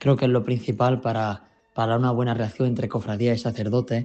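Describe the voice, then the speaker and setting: A man's medium-pitched voice with music playing behind it. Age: young. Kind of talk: radio interview answer.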